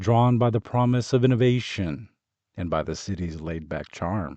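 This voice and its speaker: Here is a man with a normal speaking voice. His pitch is medium and his intonation lively. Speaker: audiobook narrator, voice artist. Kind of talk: audiobook narration.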